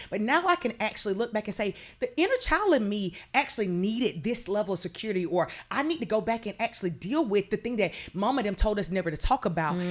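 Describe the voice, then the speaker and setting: Speaking at a very fast pace, a woman with an American accent uses a fairly high pitch. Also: lively intonation. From Georgia, US South. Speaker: pastor. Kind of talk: interview. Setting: church.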